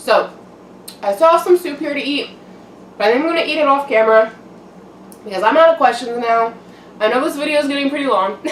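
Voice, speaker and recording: A woman speaks at a very fast pace with lively intonation and long, frequent pauses. Noticeable background noise runs underneath. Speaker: mukbang YouTuber. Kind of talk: casual vlog chat while eating. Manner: casual, filler-heavy.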